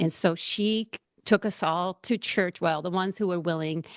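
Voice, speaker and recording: A woman's fairly low voice in a Puerto Rican accent, moderate pace and ordinary pitch variation, with a dry, close sound with no echo and a very clean recording with a silent background. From Puerto Rico. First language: Spanish. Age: 40s. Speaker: seminary student. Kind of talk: podcast interview, personal testimony.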